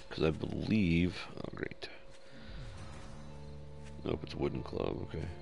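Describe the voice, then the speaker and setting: Over music in the background, a man speaks in a relaxed tone at a fairly slow pace. His long, frequent pauses break up the speech. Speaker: gamer. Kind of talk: gameplay commentary tutorial. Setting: headset microphone, low-quality stream audio. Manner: casual, relaxed.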